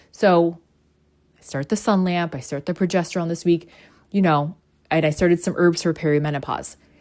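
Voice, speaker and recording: A woman's fairly low voice, animated in tone and fairly quick in pace, broken by long, frequent pauses, on a very clean recording with a silent background. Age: 40s. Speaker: spiritual podcast host. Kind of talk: casual monologue. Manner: fast.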